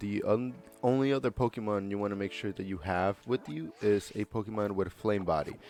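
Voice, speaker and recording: A man talks at a moderate speed, his pitch varying in an ordinary way, while music plays behind him. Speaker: gaming guide creator. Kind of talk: game tutorial voiceover. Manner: casual, filler-heavy.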